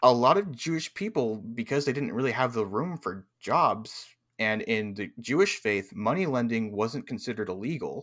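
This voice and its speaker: A man with a medium-pitched, ordinary speaking voice talks at a moderate pace with lively intonation and hardly any pauses, on a very clean recording with a silent background. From California. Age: 20s. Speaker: tabletop game streamer. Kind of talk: casual chat.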